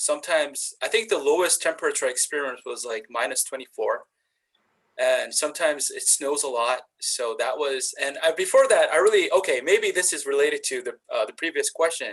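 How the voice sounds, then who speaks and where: A man with a Korean accent talks at a fairly quick pace. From South Korea. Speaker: university instructor. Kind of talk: panel discussion. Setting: webinar video call. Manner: halting, many fillers.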